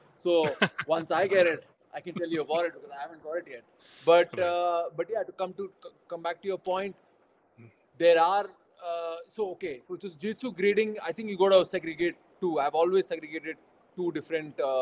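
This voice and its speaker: With an Indian accent, a man talks at a fairly quick pace and a high pitch, leaving long, frequent pauses. His intonation is fairly even, his loudness swings widely, and the sound is dry and close with no echo. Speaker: jiu-jitsu champion and gym founder. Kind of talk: casual interview.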